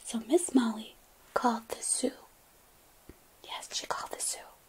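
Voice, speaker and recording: A woman is whispering, soft-spoken. Noticeable background noise is present. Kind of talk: children's bedtime story reading. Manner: soft-spoken, whispering.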